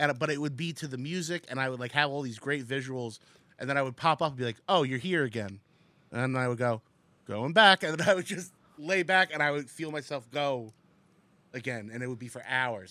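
In a very clean recording with a silent background, a man with a bright, sharp tone speaks at a fairly quick pace and fairly high pitch, with ordinary pitch variation. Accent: American. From New Jersey, Secaucus. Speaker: comedian. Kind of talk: casual chat. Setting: studio.

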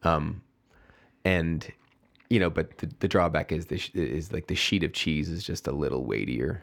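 A man with an American accent, a very deep, low pitch, vocal fry and lively intonation, on a very clean recording with a silent background. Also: moderate pace. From Chicago, south side. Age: 40s. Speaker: brewery founder. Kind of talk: casual interview. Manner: halting.

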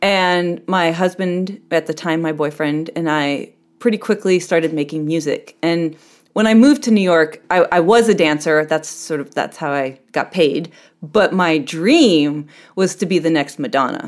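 A woman's fairly low, ordinary speaking voice at a moderate pace with ordinary pitch variation. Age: 40s. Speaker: ballroom performer and dancer. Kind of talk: interview.

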